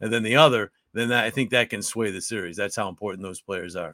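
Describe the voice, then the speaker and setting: A bright, sharp tone in a very clean recording with a silent background and a dry, close sound without echo. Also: man. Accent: American. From upstate New York. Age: 50s. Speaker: hockey play-by-play announcer. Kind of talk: casual interview.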